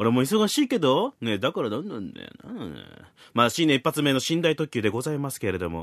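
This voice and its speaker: A man at a medium pitch speaks fairly quickly with vocal fry and very wide pitch swings, in a dry, close sound with no echo. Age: 30s. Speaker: podcast host. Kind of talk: casual chat. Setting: Skype call. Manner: animated.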